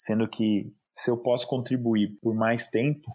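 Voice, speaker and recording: On a very clean recording with a silent background, a man with an ordinary speaking voice talks at a fairly slow pace with fairly even intonation. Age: 30s. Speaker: calligrapher and lettering artist. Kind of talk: interview conversation.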